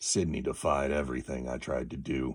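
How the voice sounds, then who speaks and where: At a fairly quick pace, a man uses a raspy, put-on character voice with a very deep, low pitch. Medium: read story. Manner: hesitant, troubled.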